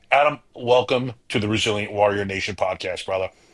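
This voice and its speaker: Speaking at a fairly quick pace in a northern US accent, a man has a bright, sharp tone and ordinary pitch variation. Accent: northern US (Yankee). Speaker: podcast host. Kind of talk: reading a prepared guest introduction; podcast interview.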